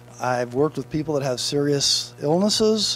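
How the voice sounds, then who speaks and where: Over music in the background, the speech runs at a fairly quick pace. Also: man. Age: 60s. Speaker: motivational speaker and author. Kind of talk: interview. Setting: event blue carpet.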